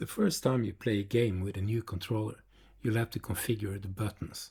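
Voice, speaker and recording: A man with a non-native accent speaks at a moderate pace in a fairly low pitch with fairly even intonation. His tone is dark and mellow and somewhat breathy, on a very clean recording with a silent background. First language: not English. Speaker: retro computer YouTuber. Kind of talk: video narration.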